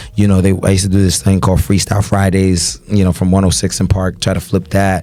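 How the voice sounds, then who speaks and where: A man's very deep, low voice at a very fast pace with very even loudness, over noticeable background noise. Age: 20s. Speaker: party promoter and event host. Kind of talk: casual podcast conversation. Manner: animated.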